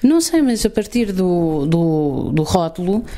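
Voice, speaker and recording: A woman in a European Portuguese accent, at a very slow pace with very wide pitch swings, over noticeable background noise. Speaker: podcast co-host. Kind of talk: improvised comedy chat.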